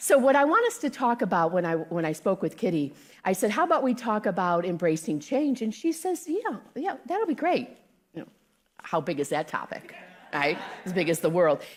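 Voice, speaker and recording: A loud, animated voice in an American accent at a moderate pace, with very wide pitch swings. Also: woman, fairly high pitch for a woman. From South Carolina. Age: 60s. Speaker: guest speaker. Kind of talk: sermon. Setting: church with live audience.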